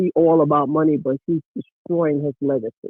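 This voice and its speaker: This man has an unremarkable speaking voice, pitched fairly high. He talks at a moderate pace with fairly even intonation. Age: 60s. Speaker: caller, former basketball coach. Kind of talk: casual chat. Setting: phone call.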